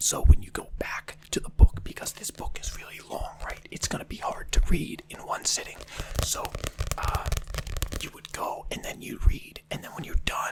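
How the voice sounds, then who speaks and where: A whispered voice at a moderate pace. Background noise is noticeable. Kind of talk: ASMR role play, over-explaining simple objects to the listener. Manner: casual, chatty, with filler words and repetition.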